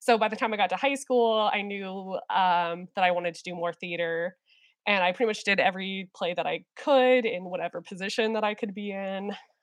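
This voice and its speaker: A woman in a plain, everyday voice, medium in pitch with ordinary pitch variation, at a fairly quick pace with big swings in loudness. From Minnesota, moved to Texas as a child. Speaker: theater educator. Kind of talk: casual interview.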